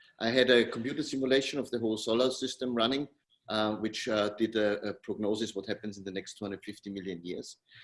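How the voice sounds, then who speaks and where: A man in a German accent at a very fast pace, with fairly even intonation. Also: medium pitch for a man. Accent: German-speaking. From Austria. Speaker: tech company co-founder. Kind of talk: interview.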